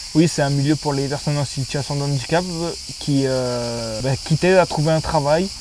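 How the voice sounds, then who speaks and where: Speaking at a moderate pace, a man with a fairly high voice keeps his intonation fairly even. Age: 20s. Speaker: sheltered workshop worker. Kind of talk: testimony. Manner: loud; halting.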